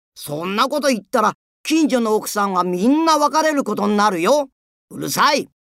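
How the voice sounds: Intonation is lively in a natural reading voice. Nothing disturbs the quiet background.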